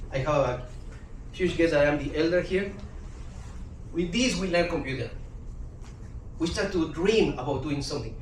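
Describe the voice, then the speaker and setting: Amid noticeable background noise and audible room echo, a man with a Spanish accent speaks at a fairly high pitch and a moderate pace, pausing long and often. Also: ordinary pitch variation. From Guatemala. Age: 50s. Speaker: language teacher. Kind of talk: talk to a live audience.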